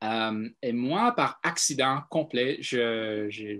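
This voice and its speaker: Pitch variation is ordinary as a man talks. The background is silent and the recording very clean. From US South, Atlanta, Georgia. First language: English (speaking French). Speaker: panel participant, French learner. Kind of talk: casual live video discussion. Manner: halting, many fillers.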